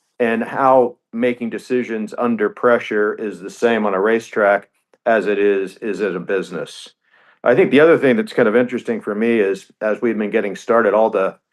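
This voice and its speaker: Against a quiet background, a plain, everyday voice speaks at a moderate pace with fairly even intonation. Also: man, medium pitch for a man. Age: 60s. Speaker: racing team co-founder and business executive. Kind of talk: radio interview.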